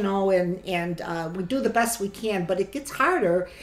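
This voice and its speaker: In a Chicago accent, a woman speaks at a medium pitch with ordinary pitch variation. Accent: Chicago American. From US Midwest, Chicago. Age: 70s. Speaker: grandmother interviewee. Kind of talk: oral history interview.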